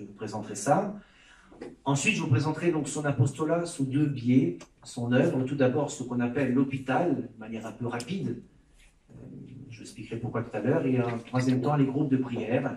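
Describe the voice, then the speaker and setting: A man's medium-pitched voice with big swings in loudness, ordinary pitch variation, long and frequent pauses, and audible room echo. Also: moderate pace. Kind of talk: lecture. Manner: hesitant with filler sounds.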